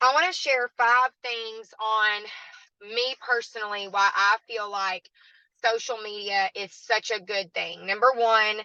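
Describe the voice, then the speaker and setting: Speaking at a fairly slow pace, a woman uses a fairly high pitch, a bright, sharp tone and fairly even intonation. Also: dry, close sound with no echo. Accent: Southern US. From US South, southwest Arkansas. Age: 20s. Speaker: network marketing guest speaker. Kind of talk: online training talk.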